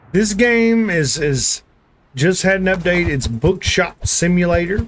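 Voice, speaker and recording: A man speaks at a high pitch with lively intonation. His pace is fairly slow. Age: 30s. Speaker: gaming streamer. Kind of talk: live stream commentary. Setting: live stream. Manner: halting.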